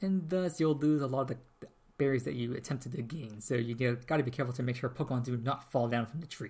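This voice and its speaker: A man races along very quickly, his voice a little breathy and his pitch varying in a normal way. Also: medium pitch for a man. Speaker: podcast host. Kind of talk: casual podcast talk.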